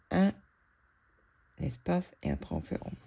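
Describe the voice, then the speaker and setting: A woman is speaking. Her tone is dark and mellow. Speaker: cross-stitch hobby youtuber. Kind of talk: casual chat while stitching.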